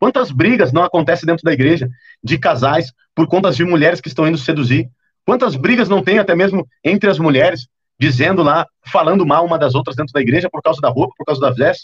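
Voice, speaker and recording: Lively intonation at a fairly quick pace, in a dry, close sound with no echo. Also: man, fairly high pitch for a man. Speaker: preacher. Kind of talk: sermon. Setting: livestream. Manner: fast.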